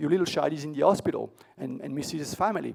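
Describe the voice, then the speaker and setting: A man's fairly high-pitched voice against a quiet background. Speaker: tech conference keynote speaker; conference keynote speaker. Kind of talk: conference talk. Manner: fast; hesitant, many fillers and repeats. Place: hall.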